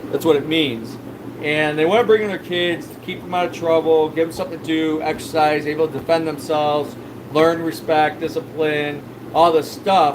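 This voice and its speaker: Over noticeable background noise, a man with a fairly high voice speaks with fairly even intonation. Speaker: fish store owner and livestreamer. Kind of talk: casual livestream chat. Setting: live stream. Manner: loud.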